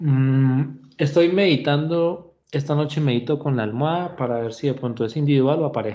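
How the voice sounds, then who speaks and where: Moderate pacing and ordinary pitch variation from a man. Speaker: university lecturer. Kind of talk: online class lecture. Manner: hesitant fillers.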